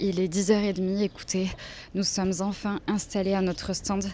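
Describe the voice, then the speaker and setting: A woman's medium-pitched voice at a moderate pace. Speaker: vlogger, freelance illustrator. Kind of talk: casual vlog talk to camera. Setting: outdoors at a market. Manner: soft-spoken, speaking quietly.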